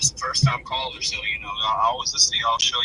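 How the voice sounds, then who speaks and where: Talking very rapidly, a man is heard against noticeable background noise. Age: 20s. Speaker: caller. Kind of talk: call-in conversation.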